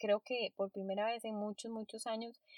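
Her fairly high-pitched voice carries a monotone, flat intonation as this woman speaks. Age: 30s. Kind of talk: solo podcast monologue.

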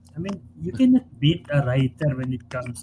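A man talks at a moderate pace in a dark, mellow tone. He sounds somewhat breathy. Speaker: sports columnist. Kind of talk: casual chat.

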